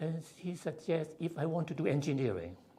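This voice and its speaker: A man speaks at a moderate pace with vocal fry in his voice. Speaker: civil engineer, honorary fellow. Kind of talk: interview. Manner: halting, frequent fillers.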